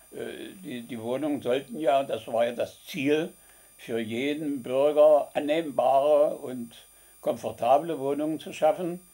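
A man speaks at a very slow pace with a fairly high pitch and a dark, mellow tone. His loudness swings widely while his pitch variation stays ordinary. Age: 80s+. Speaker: retired city planning director. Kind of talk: interview answer. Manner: clear, candid.

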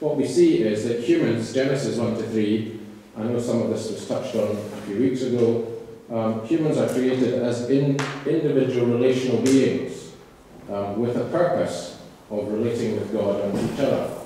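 A man speaks at a moderate pace with fairly even intonation. Light background noise and strong room echo surround his voice. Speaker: guest lecturer. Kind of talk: lecture. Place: church.

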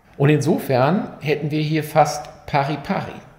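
A man speaks at a very slow pace with a fairly high pitch. Audible room echo surrounds his voice. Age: 50s. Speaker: physician explaining medical research; physician explaining medical news. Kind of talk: medical explainer video. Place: studio.

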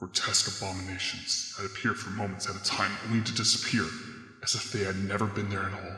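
A man's put-on character voice, fairly low in pitch, very fast, monotone and flat, with clear echo. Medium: read story. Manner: brooding, dramatic monologue.

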